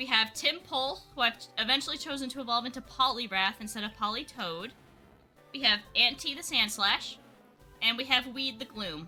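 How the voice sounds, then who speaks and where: Over music in the background, a woman with a high pitch speaks in an upbeat tone with big swings in loudness. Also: ordinary pitch variation, moderate pace. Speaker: gaming streamer. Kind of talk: live gameplay stream chat. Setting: live stream. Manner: casual, upbeat.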